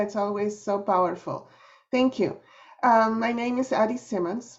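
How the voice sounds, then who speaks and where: A woman's fairly high voice in a Spanish accent, moderate pace, fairly even intonation. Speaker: nonprofit executive director. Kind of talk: panel introduction.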